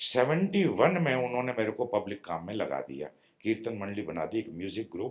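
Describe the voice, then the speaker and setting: Using very wide pitch swings around a medium pitch, a man speaks with vocal fry. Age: 60s. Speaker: spiritual teacher. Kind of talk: spiritual discourse. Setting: meditation retreat with small audience.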